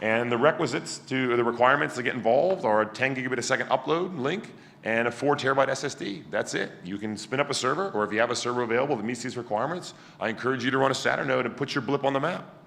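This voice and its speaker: A man rushes along at a very fast pace with a medium pitch and ordinary pitch variation, with audible room echo. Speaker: conference speaker presenting a project. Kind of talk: conference talk. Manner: loud; animated.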